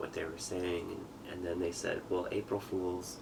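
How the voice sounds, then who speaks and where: Over noticeable background noise, a man with a very deep, low pitch speaks at a moderate pace in a monotone, flat way. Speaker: father telling his life story. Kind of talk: testimony. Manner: halting.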